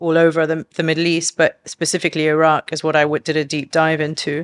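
In a London accent, a woman with a very deep, low pitch speaks at a fairly quick pace, in dry, close sound with no echo over a silent background on a very clean recording. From London, England. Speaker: herbalist and business co-founder. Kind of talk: casual interview chat.

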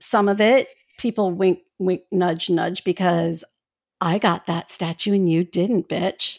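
A woman's medium-pitched voice at a very slow pace, with fairly even intonation and very even loudness, in a dry, close, echo-free and very clean recording with a silent background. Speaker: podcast co-host. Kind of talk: casual chat.

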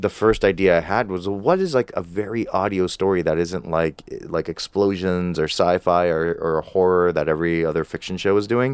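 A man's very deep, low voice with a General American accent, moderate pace, fairly even intonation, and a quiet background. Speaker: podcast host and producer. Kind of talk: casual interview chat.

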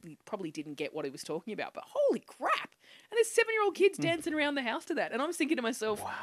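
A woman with an Australian accent talks at a very fast pace in an animated tone with very wide pitch swings, recorded dry and close with no echo. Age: 30s. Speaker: comedian. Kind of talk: casual chat. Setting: studio.

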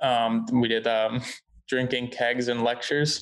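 Someone speaks in an American accent with monotone, flat intonation. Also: man. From Southern California (Costa Mesa). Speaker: videographer. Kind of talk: casual interview chat. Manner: casual, filler-heavy.

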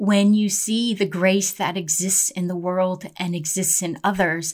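A somewhat breathy woman at a fairly slow pace on a very clean recording with a silent background. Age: 50s. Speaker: life coach and podcast host. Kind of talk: casual solo podcast monologue. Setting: at home in quarantine.

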